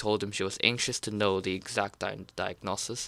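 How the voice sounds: The intonation stays fairly even as a natural reading voice goes on.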